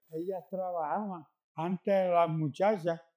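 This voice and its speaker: A very slow pace and fairly even intonation in a very clean recording with a silent background. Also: man. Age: 80s+. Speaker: community elder. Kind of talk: oral history interview answer.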